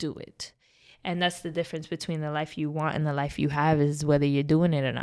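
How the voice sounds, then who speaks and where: In a very clean recording with a silent background, a woman with a New York accent speaks at a fairly quick pace in a very deep, low pitch with monotone, flat intonation. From New York City (Bronx). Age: 20s. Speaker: podcast guest sharing life story. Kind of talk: casual interview, personal testimony.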